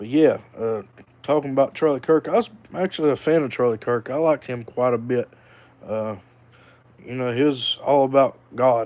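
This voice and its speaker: At a moderate pace and with long, frequent pauses, a man with a Southern US accent speaks at a medium pitch with ordinary pitch variation. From North Carolina (Hickory). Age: 30s. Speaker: vlogger. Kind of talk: casual monologue. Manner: hesitant, many fillers.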